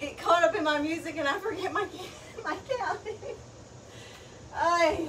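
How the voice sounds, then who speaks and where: An upbeat woman with an extremely high pitch and ordinary pitch variation speaks at a moderate pace with long, frequent pauses, over noticeable background noise. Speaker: fitness instructor. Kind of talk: live-streamed kettlebell workout class, leading and coaching. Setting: live stream to an online class. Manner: upbeat, encouraging coach; calls out countdowns ('three, two, one') and cues; short, clipped cues with pauses for breathing between sets. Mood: light, chatty. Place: garage. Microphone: camera far.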